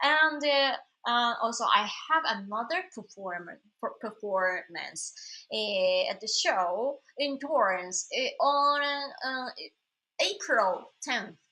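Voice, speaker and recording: A high-pitched woman's voice with a Japanese accent, bright and sharp in tone, very slow in pace, and full of very wide pitch swings. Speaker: singer-songwriter. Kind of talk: casual live stream chat. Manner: halting, many fillers.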